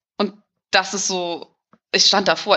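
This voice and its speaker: Here is a woman with a normal speaking voice. Her pitch is medium and her intonation fairly even. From Hamburg, northern Germany. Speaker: emigrant interviewee. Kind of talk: casual interview.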